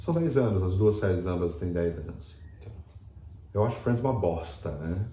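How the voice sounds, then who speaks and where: A man's very deep, low, somewhat breathy voice, dark and mellow in tone, at a moderate pace with ordinary pitch variation, long and frequent pauses, and audible room echo. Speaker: podcast co-host. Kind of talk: casual chat.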